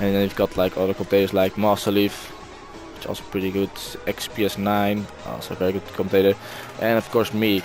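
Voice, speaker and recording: Monotone, flat delivery at a fairly quick pace in a Dutch accent, with music in the background. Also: man, fairly low pitch for a man. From Netherlands. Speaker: gaming video commentator. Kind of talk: casual vlog talk. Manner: halting, many fillers.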